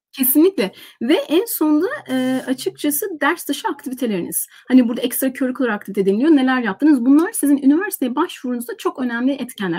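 A woman talks at a very fast pace, her high-pitched voice full of lively intonation. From Turkey. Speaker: university lecturer. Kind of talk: casual chat. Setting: video call. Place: home room. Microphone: webcam.

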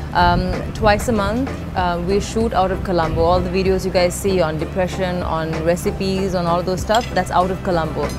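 Moderate-paced speech with music in the background. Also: woman. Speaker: fitness vlogger. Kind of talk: casual vlog chat. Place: cafe.

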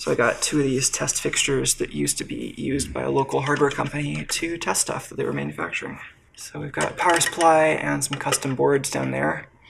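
Over noticeable background noise, the speech runs at a fairly quick pace with hardly any pauses. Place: workshop.

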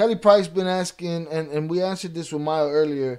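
High-pitched male voice with an American accent, fairly even intonation and a moderate pace over a quiet background. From Chicago north side. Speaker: YouTube livestream host; livestream host. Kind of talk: live stream Q&A.

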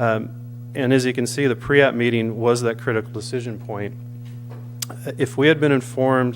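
A man's medium-pitched, flat monotone, with long, frequent pauses and music in the background. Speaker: public commenter at council meeting. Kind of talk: public comment. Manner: fast.

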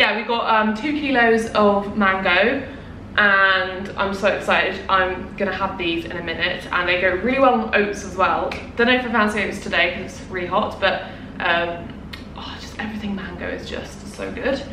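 A woman talks at a moderate pace with ordinary pitch variation and big swings in loudness. Background noise is noticeable. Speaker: vlogger. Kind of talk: casual vlog chat. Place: home room. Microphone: camera far.

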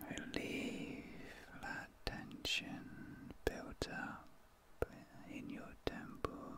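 A soft-spoken man whispering at a very slow pace, in a dry sound with no echo. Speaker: ASMR creator. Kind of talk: soft sleep-aid ASMR talk. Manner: soft deep ASMR whisper. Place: home room.

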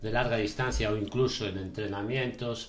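Speaking at a moderate pace with fairly even intonation, a man with a fairly low, somewhat breathy voice is heard against audible room echo. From Galicia, Spain (Ourense province). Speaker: charity ultramarathon runner. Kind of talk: casual chat. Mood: reflective, emotional memories. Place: studio.

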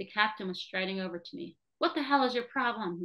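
Against a quiet background, the speaker gives a plain reading aloud with lively intonation.

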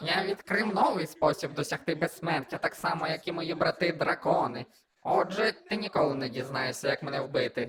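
A put-on character voice at a middle pitch moves along at a moderate pace. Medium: fan dub. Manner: pompous.

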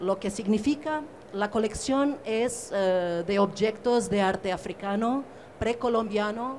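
A woman speaks at a very slow pace with ordinary pitch variation. Light background noise is present. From Portugal. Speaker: curator; panelist. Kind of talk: panel discussion. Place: hall.

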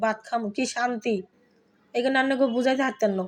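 Against a quiet background, a woman speaks at a high pitch with monotone, flat intonation. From Bangladesh, Dhaka (family from Feni). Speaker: cooking vlogger. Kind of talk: cooking tutorial.

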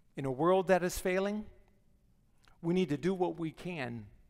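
A man talks at a fairly slow pace with a high pitch and ordinary pitch variation. The background is quiet. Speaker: guest speaker, missionary preacher. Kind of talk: sermon delivered from the pulpit to a congregation. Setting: church auditorium. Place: church. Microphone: headset.

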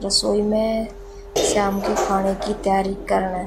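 With a slightly mellow tone and little pitch movement, a woman speaks at a fairly slow pace amid audible room echo.

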